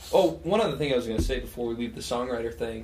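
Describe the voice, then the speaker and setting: A man's medium-pitched voice with vocal fry and an American accent, with audible room echo. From rural Western Colorado. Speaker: touring guitarist and songwriter. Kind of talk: casual chat.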